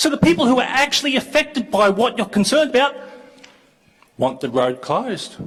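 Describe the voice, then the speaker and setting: A man with an Australian accent speaks loudly at a very fast pace, his pitch extremely high. His tone is animated. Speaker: local councillor. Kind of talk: council debate.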